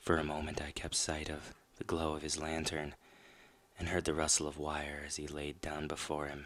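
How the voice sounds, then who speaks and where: A soft-spoken man talks at a moderate pace with a very deep, low pitch. The recording is very clean, with a silent background. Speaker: horror story host and rock band vocalist. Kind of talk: first-person horror story narration. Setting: scary background music under the reading. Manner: soft-spoken, sleepy, ASMR-style.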